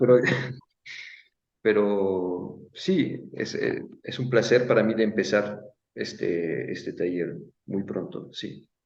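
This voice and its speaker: Audible room echo surrounds a man with a non-native accent who speaks at a very slow pace, leaving long, frequent pauses. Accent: non-native Spanish speaker. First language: Italian (speaking Spanish). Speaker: stage designer, workshop teacher. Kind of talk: online interview. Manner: halting, many fillers and repetitions.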